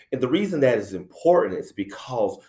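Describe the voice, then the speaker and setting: A man talks in a South Carolina accent. His pace is moderate. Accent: country accent, South Carolina. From US South, South Carolina (Anderson). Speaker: middle school principal. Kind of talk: talk to educators. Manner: many filler words (uh, um).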